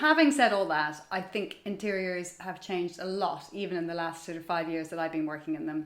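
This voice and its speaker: In an Irish accent, a woman with a fairly low pitch and ordinary pitch variation talks at a fairly quick pace. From Ireland. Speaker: magazine editor and stylist. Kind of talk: casual interview chat. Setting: at home.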